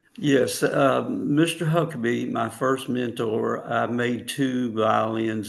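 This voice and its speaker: A man speaks at a very slow pace with vocal fry and ordinary pitch variation. He hardly pauses at all. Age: 70s. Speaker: violin maker. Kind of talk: interview. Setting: webinar.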